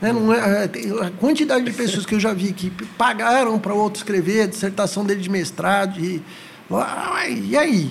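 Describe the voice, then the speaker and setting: Amid noticeable background noise and audible room echo, a man with high pitch speaks at a moderate pace with ordinary pitch variation. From São Paulo city, Brazil. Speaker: psychologist. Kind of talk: casual interview.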